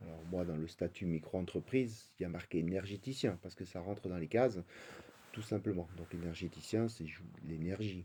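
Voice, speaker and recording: A man's very deep, low voice, somewhat breathy, at a moderate pace, with ordinary pitch variation and big swings in loudness. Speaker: spiritual coach. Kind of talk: spiritual talk. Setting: live stream. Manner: halting, many fillers.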